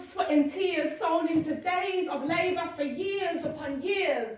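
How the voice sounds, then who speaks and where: An extremely high-pitched woman's voice at a very slow pace, ordinary pitch variation, over noticeable background noise. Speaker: spoken word poet. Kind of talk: spoken word poetry performance. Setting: live stage.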